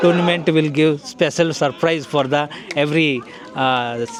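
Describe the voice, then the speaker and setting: With noticeable background noise behind him, a man with a fairly high pitch speaks at a fairly slow pace and fairly even intonation. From India. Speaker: vlogger. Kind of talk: interviewer questions.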